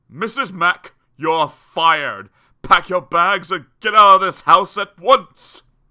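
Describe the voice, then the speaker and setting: A man bellowing in a put-on character voice, high in pitch, at a fairly slow pace with ordinary pitch variation. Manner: bellowing, furious.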